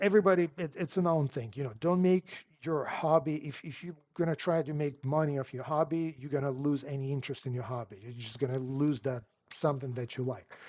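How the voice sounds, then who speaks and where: A man with a non-native accent talks at a fairly quick pace, with hardly any pauses and a fairly high pitch. His pitch varies in an ordinary way, his loudness swings widely, and the recording is very clean with a silent background. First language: not English. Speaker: car sales coach. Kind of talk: advice talk to camera. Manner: casual, conversational.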